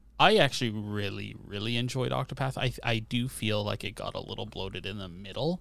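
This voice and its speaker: With a Canadian accent, a man talks at a fairly quick pace with hardly any pauses, his fairly low voice showing vocal fry and lively intonation on a very clean recording with a silent background. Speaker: podcast co-host. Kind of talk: casual chat. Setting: home recording with different microphone.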